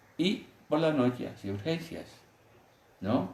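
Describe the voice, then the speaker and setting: Very wide swings in pitch run through a man's voice, which has a somewhat breathy quality. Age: 70s. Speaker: physician. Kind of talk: interview, storytelling.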